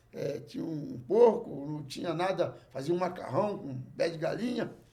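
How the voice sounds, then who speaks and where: Audible room echo surrounds a high-pitched man who talks at a moderate pace with very wide pitch swings. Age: 60s. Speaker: jongo master. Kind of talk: casual chat.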